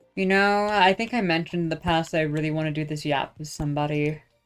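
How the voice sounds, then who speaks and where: Soft-spoken, a woman talks at a fairly quick pace in a very deep, low pitch with ordinary pitch variation. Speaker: streamer. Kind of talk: casual monologue. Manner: halting.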